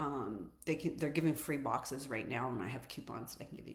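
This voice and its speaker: A woman talks with audible echo from the room around her. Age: 60s. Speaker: fitness and nutrition coach. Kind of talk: casual livestream talk. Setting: social media live stream. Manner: loud.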